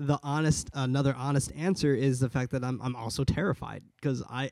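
With an American accent, a man speaks at a medium pitch and moderate pace with ordinary pitch variation. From California. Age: 20s. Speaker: podcaster and clothing business owner. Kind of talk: interview chat. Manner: halting.

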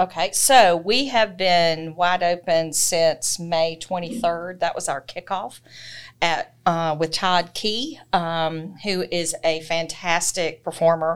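Speaking very slowly with a Southern US accent, a woman is heard in a very clean recording against a silent background. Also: fairly low pitch for a woman, ordinary pitch variation. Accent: Southern US (Georgia). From US South, Georgia (Thomson). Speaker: library branch manager. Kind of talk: interview.

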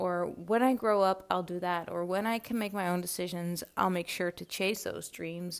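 A woman with a fairly low voice speaks at a moderate pace with fairly even intonation and hardly any pauses. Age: 20s. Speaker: podcast host. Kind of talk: solo reflective monologue.

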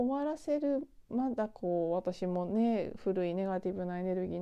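Lively intonation carries this woman's medium-pitched voice. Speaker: spiritual podcaster. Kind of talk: solo monologue. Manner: tired, drawn-out.

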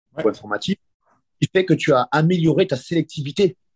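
Somewhat breathy and fairly high-pitched, a man's voice comes through dry and close with no echo. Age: 40s. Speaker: grappling coach and competitor. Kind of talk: interview.

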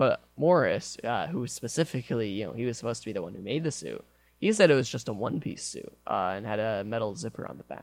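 On a very clean recording with a silent background, a medium-pitched man with an American accent talks at a very fast pace, his lively intonation marked by vocal fry and big swings in loudness. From Michigan. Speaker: college radio show host. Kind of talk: casual chat. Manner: halting, many fillers.

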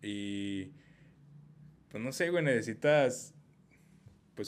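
With a Mexican accent, a man talks using lively intonation. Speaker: podcast host. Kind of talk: casual chat.

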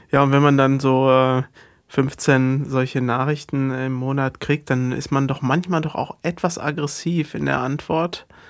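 At a fairly slow pace, a man with a fairly high voice speaks in a monotone, flat way. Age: 40s. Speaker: guitarist in a band, podcast co-host. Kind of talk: casual chat.

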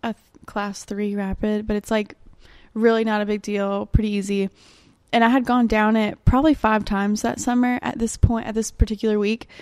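With an Alabama accent, a woman speaks fairly quickly at a fairly high pitch, her intonation fairly even but her loudness swinging widely. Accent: US Southern (Alabama). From Alabama (Birmingham). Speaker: Spanish interpreter and barista. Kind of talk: casual chat.

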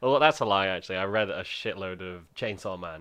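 Against a quiet background, a man with a very deep, low pitch speaks in a bright, sharp tone. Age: 20s. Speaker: podcast co-host. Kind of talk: casual chat.

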